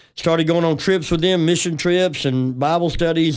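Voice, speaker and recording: A man with a Southern US accent, fairly quick pace and fairly even intonation. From West Tennessee. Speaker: pastor. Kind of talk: casual chat.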